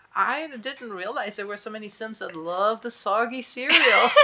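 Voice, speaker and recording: A woman's raised, projected voice with an animated tone, a fairly slow pace and a German accent. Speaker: podcast co-host. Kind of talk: casual chat.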